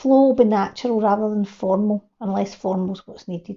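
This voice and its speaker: A woman speaks in a strong Glasgow accent at a moderate pace. Her pitch varies in an ordinary way. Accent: broad Glasgow. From Scotland, Glasgow. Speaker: video creation coach. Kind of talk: reading from teleprompter, tutorial.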